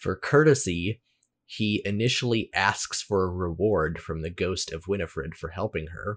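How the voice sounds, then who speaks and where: A man whose pitch is very deep and low talks at a moderate speed with ordinary pitch movement, captured on a very clean recording with a silent background. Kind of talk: casual chat.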